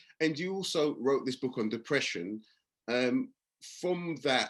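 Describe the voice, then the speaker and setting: A man talks with lively intonation in a London accent. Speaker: meeting host. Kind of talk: interview on video call meeting. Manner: halting, stammering restarts.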